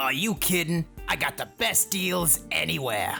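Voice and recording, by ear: A put-on character voice, bright and sharp in tone, with lively intonation, vocal fry, a fairly slow pace and faint music in the background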